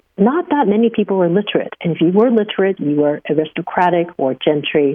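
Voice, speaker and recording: Talking at a very fast pace, a woman with a Chinese accent uses lively intonation. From Taiwan, moved to US at about nine. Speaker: professor. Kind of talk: interview.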